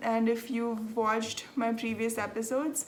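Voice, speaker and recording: A woman with a fairly high voice speaks at a fairly slow pace in a flat monotone, with audible echo in the room. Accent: Telugu. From South India, Andhra Pradesh. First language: Telugu. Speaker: knitting podcaster. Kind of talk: casual chat. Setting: home. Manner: chatty, many filler ums.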